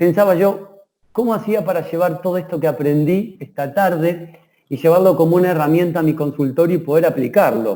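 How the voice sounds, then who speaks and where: The voice carries an Argentine accent and a dark, mellow tone. It moves at a fairly quick pace with ordinary pitch variation. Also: man, high pitch for a man. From Argentina, Rosario. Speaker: dentist, lecturer. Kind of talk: online lecture. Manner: hesitant fillers.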